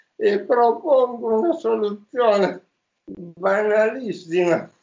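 A man speaks at a very slow pace with a high-pitched voice. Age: 50s. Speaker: former entrepreneur and author. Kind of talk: interview.

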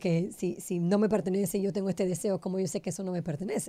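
Dark and mellow, the voice comes across clearly. Nothing sounds in the silent background of this very clean recording. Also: woman. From Panama. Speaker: Kabbalah teacher, podcast co-host. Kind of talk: casual chat.

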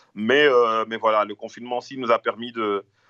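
At a fairly quick pace, a man speaks with fairly low pitch and monotone, flat intonation. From Brussels, Belgium. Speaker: rapper. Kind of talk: casual interview. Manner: halting.

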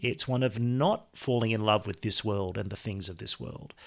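In an Australian accent, a man speaks at a moderate pace on a very clean recording with a silent background. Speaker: podcast host. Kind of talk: scripted announcement; interview.

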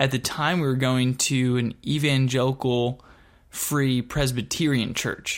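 A man with an American accent, medium in pitch, monotone and flat in intonation, very even in loudness, and fairly slow in pace. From Texas (Dallas-Fort Worth) and Michigan. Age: 30s. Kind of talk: personal testimony. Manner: casual, conversational with fillers.

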